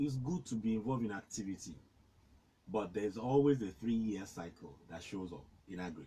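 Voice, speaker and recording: A man with a fairly low pitch and a somewhat breathy sound. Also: lively intonation. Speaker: farmer and agriculture consultant. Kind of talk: interview. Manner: halting.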